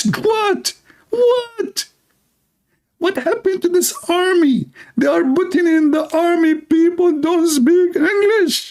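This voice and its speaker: In a put-on character voice of extremely high pitch, the speaker moves at a fairly slow pace with long, frequent pauses. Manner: indignant, shouting.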